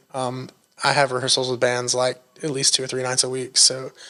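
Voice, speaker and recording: A man talks at a medium pitch. His pace is moderate. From Northeast Tennessee, Appalachia (Erwin). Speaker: songwriter and musician. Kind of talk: podcast interview. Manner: casual, many fillers.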